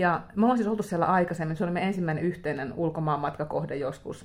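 A woman with a plain, everyday voice speaks at a fairly low pitch. Her pace is fairly quick and her intonation lively. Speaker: crime novelist. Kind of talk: casual interview chat. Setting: hotel room.

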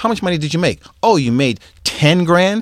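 Very wide pitch swings at a fairly quick pace in an American accent, with a dry, close sound and no echo. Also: man. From Boston. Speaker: music producer and professor. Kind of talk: interview.

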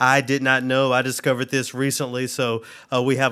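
A man with a bright, sharp tone and medium pitch at a moderate pace, on a very clean recording with a silent background. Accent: American. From US South, Memphis, Tennessee. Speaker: classical radio host and musician. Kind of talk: casual interview conversation. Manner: halting, many fillers.

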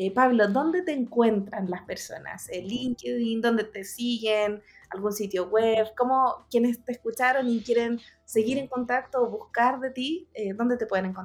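The speaker uses a normal speaking voice at a fairly slow pace. Pitch varies in an ordinary way. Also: woman, fairly high pitch for a woman. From Chile, Coquimbo. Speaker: podcast host, agile coach. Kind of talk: interview podcast.

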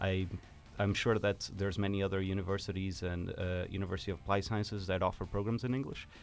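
Music plays behind a man who talks very fast in a fairly low pitch with flat, monotone intonation. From Portugal. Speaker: university student, event organizer. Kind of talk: radio interview. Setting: studio.

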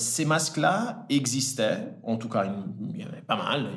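A somewhat breathy man's voice amid audible room echo. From Italy, then French-speaking Switzerland from age 10. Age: 30s. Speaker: entrepreneur, cosmetics brand founder. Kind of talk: podcast interview. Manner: hesitant, with frequent fillers and repetitions.

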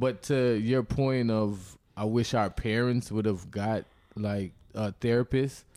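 At a very slow pace, a man with a medium pitch talks with very even loudness and fairly even intonation. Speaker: producer.

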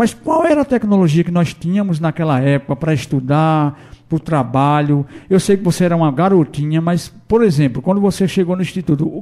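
This man's voice sits high in pitch, with a dark, mellow tone and ordinary pitch variation. He moves at a fairly quick pace on a very clean recording with a silent background. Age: 50s. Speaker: radio host. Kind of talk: radio interview.

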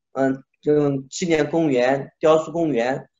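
This man has a fairly high pitch and speaks at a fairly slow pace. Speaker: sculptor. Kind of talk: interview. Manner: animated.

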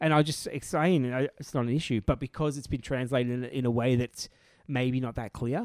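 Here is a man with an unremarkable speaking voice, medium in pitch and fairly quick in pace. The sound is dry and close with no echo. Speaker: tabletop wargaming podcast host. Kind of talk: casual chat.

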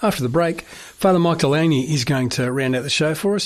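A man speaks very fast in an Australian accent, his pitch fairly high with ordinary variation. Noticeable background noise sits behind him. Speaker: radio host. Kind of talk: radio presenting. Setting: studio.

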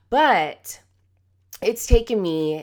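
Her tone is animated. The background is silent, and the recording is very clean. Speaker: podcast host and success coach. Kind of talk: solo podcast monologue. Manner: animated, laughs often.

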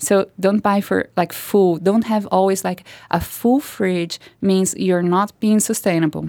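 This woman has a medium pitch and a dark, mellow tone, with a Portuguese accent. She talks at a fairly slow pace, her loudness very even and her intonation fairly even. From Brazil. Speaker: artist and food activist. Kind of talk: interview. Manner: halting.

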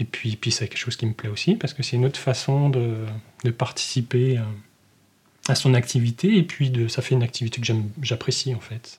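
A man with a medium pitch speaks at a fairly quick pace, somewhat breathy, with fairly even intonation and long, frequent pauses. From northern Morvan, Burgundy, France. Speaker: naturalist. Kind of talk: interview. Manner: halting.

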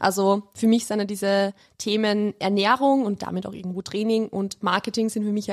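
The woman's voice comes through dry and close with no echo, in a very clean recording with a silent background. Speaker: nutrition coach and online marketer. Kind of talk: casual chat.

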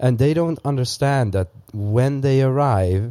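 A man with a Dutch accent speaks at a moderate pace. His tone is dark and mellow, with ordinary pitch variation. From Netherlands. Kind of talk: casual chat.

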